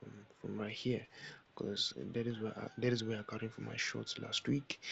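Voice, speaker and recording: Whispering, a man speaks with a non-native accent. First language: not English. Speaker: forex trading educator. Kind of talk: tutorial. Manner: halting.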